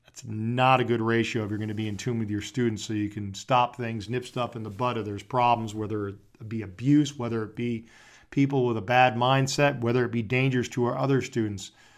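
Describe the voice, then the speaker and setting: A man talks at a medium pitch in a flat monotone. His pace is fairly quick against a quiet background. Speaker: conservative talk radio host. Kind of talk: talk radio monologue and interview. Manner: sarcastic.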